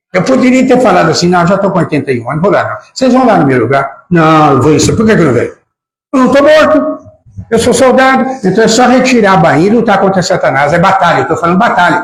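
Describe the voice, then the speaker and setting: At a very fast pace, a man talks in a high pitch with very wide pitch swings. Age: 80s+. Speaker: preacher. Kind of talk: sermon. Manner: animated.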